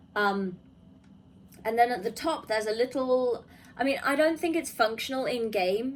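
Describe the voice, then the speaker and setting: This woman has an unremarkable speaking voice, pitched fairly high and moving at a moderate pace. Her intonation is lively. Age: 20s. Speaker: gaming YouTuber. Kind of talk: video review commentary. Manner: casual with frequent fillers.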